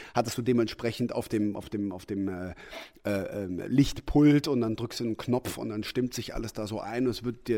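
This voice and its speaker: The recording is very clean, with a silent background. A man talks at a medium pitch with fairly even intonation. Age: 40s. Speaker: actor. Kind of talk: interview. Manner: clear articulation.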